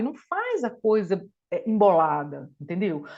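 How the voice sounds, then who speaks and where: A woman talks in an animated tone at a medium pitch. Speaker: dentist and lawyer, guest lecturer. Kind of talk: online lecture / study group talk.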